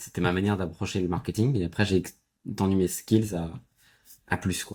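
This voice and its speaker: Over a very clean recording with a silent background, a man with a very deep, low pitch talks at a moderate pace with fairly even intonation. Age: 20s. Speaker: entrepreneur. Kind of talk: podcast interview.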